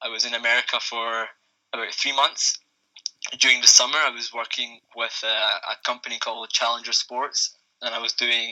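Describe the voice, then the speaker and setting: With a Scottish accent, a man speaks at a medium pitch and a moderate pace. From Scotland. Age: 20s. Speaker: youth football coach and fan. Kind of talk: podcast discussion.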